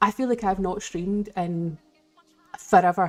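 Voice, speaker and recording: Speaking in a Scottish accent, a woman keeps a moderate pace. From Scotland. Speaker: live streamer. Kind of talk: casual chat. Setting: live stream.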